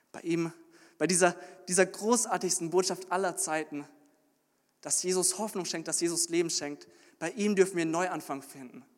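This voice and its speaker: This man's voice is high-pitched, with fairly even intonation and big swings in loudness. He keeps a moderate pace broken by long, frequent pauses. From Munich, Bavaria, Germany. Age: 20s. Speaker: theology student, intern preacher. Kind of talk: sermon. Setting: church service, also livestreamed. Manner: halting with frequent repetitions.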